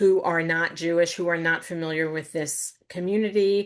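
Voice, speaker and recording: Against a quiet background, a woman with an unremarkable speaking voice talks at a moderate pace and a fairly low pitch, with fairly even intonation. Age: 60s. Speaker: novelist. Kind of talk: book talk Q&A.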